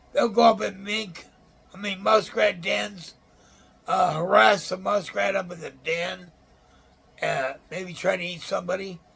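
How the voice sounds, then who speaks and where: With noticeable background noise behind him, a man with an American accent speaks at a high pitch for a man with ordinary pitch variation, at a fairly slow pace with long, frequent pauses and big swings in loudness. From Illinois. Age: 60s. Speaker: outdoors channel host. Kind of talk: casual show-and-tell talk. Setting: room in a nursing home. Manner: halting.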